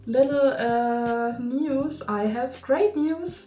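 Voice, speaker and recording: Audible room echo surrounds a woman with a German accent. Her pitch is high, with ordinary pitch variation. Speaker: crafting youtuber. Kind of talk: tutorial vlog. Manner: halting.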